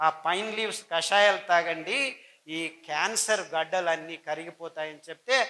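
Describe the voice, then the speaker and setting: Pitched high for a man, this speaker uses ordinary pitch variation. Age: 60s. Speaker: doctor and diet advocate. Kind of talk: health talk / lecture.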